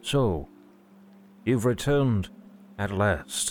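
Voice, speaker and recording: A man's put-on character voice, resonant and fairly low-pitched, with lively intonation. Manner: commanding, regal.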